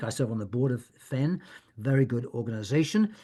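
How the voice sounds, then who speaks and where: A man with a fairly high pitch talks with lively intonation. His voice is somewhat breathy, and the background is quiet. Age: 70s. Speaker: author and end-of-life activist. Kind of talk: Q&A talk. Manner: halting, many fillers and repetitions.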